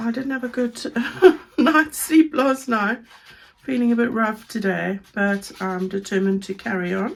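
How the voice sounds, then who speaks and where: Noticeable background noise behind speech of moderate pace and ordinary pitch variation. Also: woman, fairly high pitch for a woman. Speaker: paper crafter. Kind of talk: craft tutorial talk to camera. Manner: casual, friendly.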